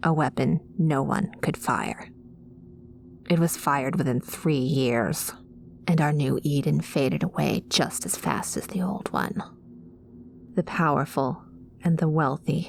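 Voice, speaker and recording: A gruff, put-on character voice from a woman, very deep and low, at a fairly slow pace over clear background noise. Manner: brooding, gruff.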